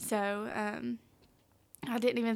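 A woman with a Southern US accent speaks at a fairly high pitch in a monotone, flat intonation. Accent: Southern US, noticeable. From Tennessee. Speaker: intern and youth group leader. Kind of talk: casual interview chat.

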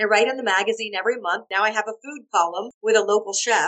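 A woman speaks fast at a medium pitch with ordinary pitch variation. Her tone is fairly bright.

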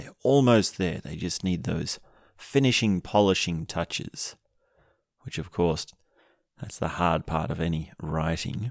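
Very deep and low, a man's voice carries lively intonation and an animated tone at a fairly slow pace. Long, frequent pauses break up his speech in a very clean recording with a silent background. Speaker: podcast host. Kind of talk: solo monologue podcast. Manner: animated, laughs often.

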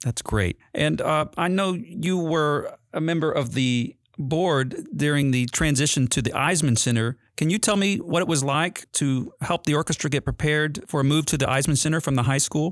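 On a very clean recording with a silent background, a man with a normal speaking voice, fairly high for a man, talks at a moderate pace with ordinary pitch variation. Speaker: orchestra conductor and host.

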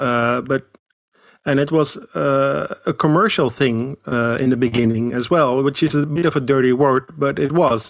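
This man has a Dutch accent and a medium pitch with ordinary pitch variation. His moderate pace comes through in a dry, close sound with no echo. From Netherlands. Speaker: pilgrimage guide. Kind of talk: casual interview.

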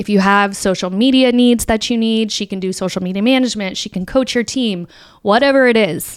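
A woman talks at a fairly quick pace in an unremarkable speaking voice, fairly high in pitch with ordinary pitch variation. The recording is very clean with a silent background. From Florida, US. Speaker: podcast host, content creator and social media marketer. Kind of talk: casual solo talk.

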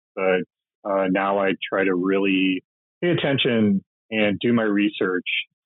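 In an American accent, a man with a fairly low pitch talks at a fairly slow pace, his intonation fairly even and his loudness very even. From US Midwest. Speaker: rock poster artist and tattoo artist. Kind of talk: interview.

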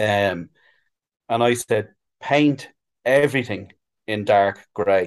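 With a Dublin accent, a man speaks at a fairly low pitch with ordinary pitch variation. He goes at a fairly slow pace, leaving long, frequent pauses. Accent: Dublin Irish. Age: 40s. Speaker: sign painter. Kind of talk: casual chat.

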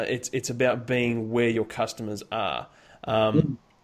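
A man speaks in an ordinary speaking voice. The recording is very clean, with a silent background. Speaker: podcast host. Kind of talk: interview podcast, conversational. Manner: friendly, upbeat.

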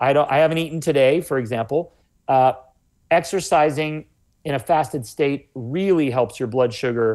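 A man speaks at a moderate pace in a plain, everyday voice, pitched fairly high with ordinary pitch variation. The background is quiet. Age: 40s. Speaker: health author. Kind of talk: interview.

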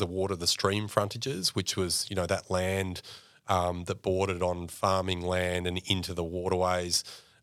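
A man talks with an Australian accent at a very deep, low pitch and a fairly quick pace. The recording is very clean, with a silent background. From Mildura, regional Victoria, Australia. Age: 40s. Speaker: clean energy policy executive and former deputy mayor. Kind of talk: casual interview.

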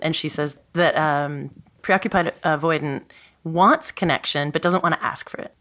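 A woman's fairly low voice, bright and sharp, with fairly even intonation, on a very clean recording with a silent background. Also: moderate pace. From Canada, Montreal. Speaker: author and college teacher. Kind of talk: podcast interview.

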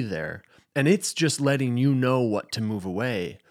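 A man with a normal speaking voice talks at a medium pitch and a moderate pace in a very clean recording with a silent background. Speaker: podcast host. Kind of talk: casual interview.

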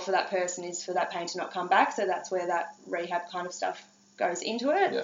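A woman with an Australian accent at a moderate pace. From Australia, Gippsland, Victoria. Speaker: chiropractor. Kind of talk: casual interview. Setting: in person.

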